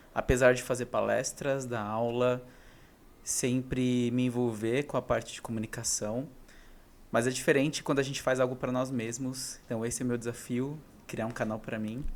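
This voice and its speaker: The delivery runs at a moderate pace in a flat monotone, broken by long, frequent pauses. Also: man. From interior of São Paulo state, Brazil. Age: 30s. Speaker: vlogger. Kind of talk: casual personal vlog monologue. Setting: talking alone to camera. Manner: unscripted, single take with some hesitations.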